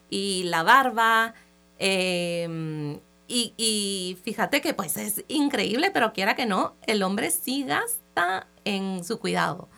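With a bright, sharp tone, a woman speaks at a very slow pace. Her pitch is medium and her intonation lively. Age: 30s. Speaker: entrepreneur. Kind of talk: interview. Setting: radio studio.

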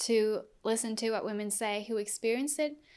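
Speaking with a German accent, a woman keeps a moderate pace at a fairly high pitch. The recording is very clean, with a silent background. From Germany. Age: 20s. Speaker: activist. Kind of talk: interview.

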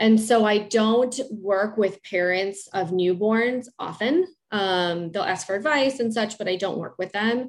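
Against a quiet background, a woman speaks fairly slowly at a fairly high pitch with ordinary pitch variation and hardly any pauses. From Chicago area. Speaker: speech-language pathologist. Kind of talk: interview, expert advice.

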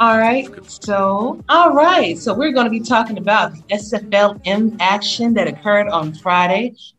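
With a plain, everyday voice, a woman speaks at a fairly slow pace in a fairly high pitch, her intonation lively and hardly any pauses between words. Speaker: podcast host. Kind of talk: casual chat.

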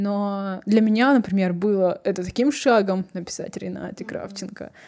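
A plain, everyday voice with fairly even intonation at a moderate pace, on a very clean recording with a silent background. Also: woman. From Kazakhstan. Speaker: podcast host. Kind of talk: casual interview chat.

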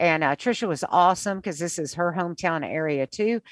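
A woman's normal speaking voice, with an American accent, fairly low in pitch, with ordinary pitch variation at a moderate pace, in a dry, close sound with no echo and a quiet background. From US South. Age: 60s. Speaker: radio morning host. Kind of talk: interview.

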